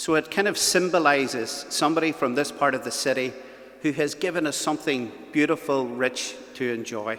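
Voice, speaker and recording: With noticeable background noise behind him, a man with a Belfast accent talks at a moderate pace, fairly high in pitch with ordinary pitch variation. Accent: Belfast Northern Irish. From Northern Ireland, West Belfast. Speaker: event host, youth ministry worker. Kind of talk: event hosting speech. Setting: church with live audience and webcam.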